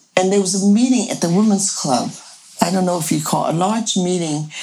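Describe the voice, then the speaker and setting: Over noticeable background noise, a woman with a medium pitch speaks fairly quickly with lively intonation. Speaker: village co-founder. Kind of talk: casual interview.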